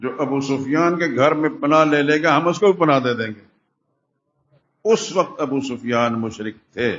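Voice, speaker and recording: A man with fairly high pitch, ordinary pitch variation and an ordinary speaking voice. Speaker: Islamic scholar, Quran commentator giving a Friday sermon. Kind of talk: Friday sermon (khutbah) delivered in a mosque. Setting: mosque.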